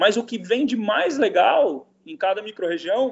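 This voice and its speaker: A man is speaking. His intonation is lively. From Brasília, Brazil. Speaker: cook and artisanal food curator. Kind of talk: casual interview chat.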